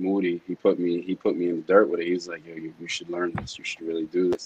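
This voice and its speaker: In an American accent, a man speaks at a very deep, low pitch with a monotone, flat intonation. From Rockaway, New York. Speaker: music producer and engineer. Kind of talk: casual chat.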